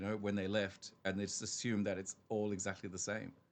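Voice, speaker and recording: Here a man with an Australian accent talks at a very fast pace. His voice has a fairly low pitch. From Australia (raised), early childhood in Wolverhampton, England. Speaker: business co-founder. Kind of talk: podcast interview.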